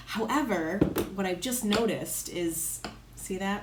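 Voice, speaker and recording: An animated tone with an American accent at a moderate pace, amid noticeable background noise and audible room echo. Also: woman. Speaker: lifestyle vlogger. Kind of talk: casual vlog talk. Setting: home, in front of a window.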